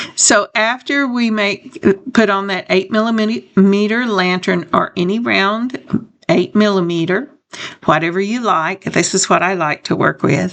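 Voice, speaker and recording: A woman speaks at a fairly slow pace in a plain, everyday voice, at medium pitch with ordinary pitch variation. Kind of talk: tutorial. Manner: casual.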